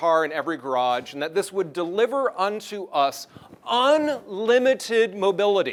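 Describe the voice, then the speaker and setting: In an American accent, a man talks at a high pitch with very wide pitch swings. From US North. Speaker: transportation planner, keynote speaker. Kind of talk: conference keynote speech. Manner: fast.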